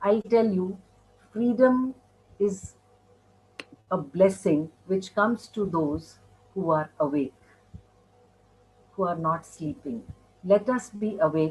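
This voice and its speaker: Long, frequent pauses break up a woman's very slow, lively speech at a medium pitch. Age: 60s. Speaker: mindfulness speaker. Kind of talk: interview.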